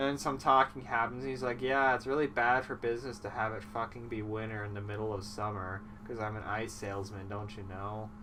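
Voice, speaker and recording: A man speaks at a fairly quick pace with hardly any pauses, his fairly low voice carrying fairly even intonation. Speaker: comedy movie recapper. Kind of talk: casual comedic monologue. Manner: sleepy, rambling.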